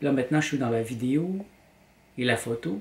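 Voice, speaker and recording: Somewhat breathy, a man speaks with a Quebec accent and lively intonation. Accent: Québécois French. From Quebec, Montreal. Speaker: vlogger and graphic designer; vlogger. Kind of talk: personal vlog monologue. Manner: hesitant, with repetitions. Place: home room. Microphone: camera far.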